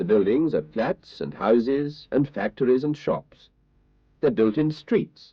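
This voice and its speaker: A man speaks in a gentle tone. His voice carries vocal fry. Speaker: newsreader and narrator. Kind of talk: children's TV narration. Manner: slow, clear, gentle.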